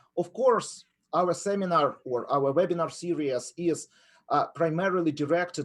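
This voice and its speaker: Here a man talks in a Ukrainian accent at a moderate pace. His voice sits fairly high, with ordinary pitch variation. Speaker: professor of entrepreneurship. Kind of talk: webinar lecture. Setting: online webinar.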